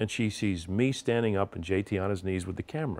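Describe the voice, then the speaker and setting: An unremarkable speaking voice with ordinary pitch variation, in a very clean recording with a silent background. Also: man. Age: 60s. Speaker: retiring sports director. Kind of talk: casual interview, storytelling.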